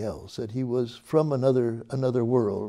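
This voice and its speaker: A man speaks at a moderate pace with a medium pitch and a dark, mellow tone against a quiet background. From Canada. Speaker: musicologist; interviewee. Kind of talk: oral history interview answer. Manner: reflective, hesitant, conversational. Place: studio. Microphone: lapel.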